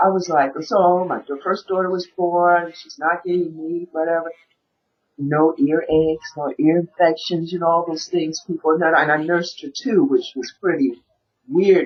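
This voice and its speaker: Her loudness swings widely as this woman talks at a moderate pace in an unremarkable speaking voice with a fairly low pitch. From US Midwest, Milwaukee. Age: 50s. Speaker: raw vegan chef and health coach. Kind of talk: interview.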